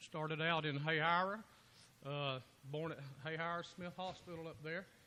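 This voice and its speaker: A man with a Georgia accent speaks at a moderate pace in a fairly high, bright, sharp tone with fairly even intonation. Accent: southern US (Georgia). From US South (south Georgia). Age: 50s. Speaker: political candidate, former state trooper. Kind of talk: impromptu campaign speech at party meeting. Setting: local party meeting.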